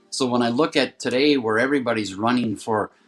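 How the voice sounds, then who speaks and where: A man talks fairly quickly at a medium pitch while music plays behind him. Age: 50s. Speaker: wellness practitioner. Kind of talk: guest talk.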